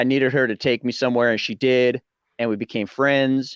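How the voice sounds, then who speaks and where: A man at medium pitch and fairly quick pace, dry and close with no echo, over a quiet background. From Colorado, US. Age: 40s. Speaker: YouTuber, interview guest. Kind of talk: casual interview chat. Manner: animated.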